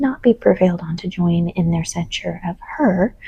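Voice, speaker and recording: Soft-spoken woman, somewhat breathy, in a dark, mellow tone. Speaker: audiobook reader. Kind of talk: sleep story reading.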